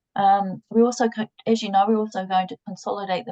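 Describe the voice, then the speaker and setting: A woman talks at a fairly quick pace and medium pitch with fairly even intonation. The sound is dry and close, with no echo. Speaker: company project presenter. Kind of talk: online progress update presentation. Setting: video call. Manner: fast; halting with repetitions and fillers.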